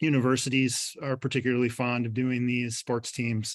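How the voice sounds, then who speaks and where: A man speaks in a medium pitch. He has a strong Upper Midwest accent. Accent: thick upper Midwest. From Michigan, Montcalm County. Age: 40s. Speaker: poet and professor. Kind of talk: poetry reading with commentary. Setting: video call. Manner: halting, many fillers.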